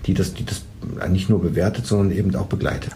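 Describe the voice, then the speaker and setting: A man with a very deep, low voice is heard with audible room echo and noticeable background noise. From Saxony, Leipzig. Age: 40s. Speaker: managing director of a family business. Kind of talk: interview. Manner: halting, many fillers and restarts.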